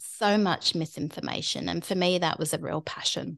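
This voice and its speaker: The speaker talks at a fairly slow pace with a British accent and ordinary pitch variation against a quiet background. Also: woman. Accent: British accent, living in Australia. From UK. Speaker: skincare expert podcast host. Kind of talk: casual chat. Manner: chatty, rambling.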